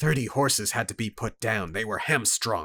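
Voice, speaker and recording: A man puts on a growling character voice at a medium pitch. His intonation is lively, and the recording is very clean with a silent background. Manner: emotionless.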